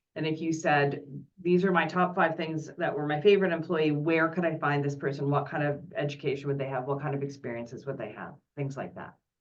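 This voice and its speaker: A woman's very deep, low voice at a fairly quick pace, with ordinary pitch variation and audible room echo. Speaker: career development presenter. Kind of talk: online presentation Q&A.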